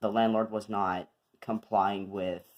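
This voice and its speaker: The speaker is a man whose pitch sits fairly low. He talks at a very slow pace. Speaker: youtuber. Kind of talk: casual vlog update. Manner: many filler words, hesitant. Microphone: new recording setup.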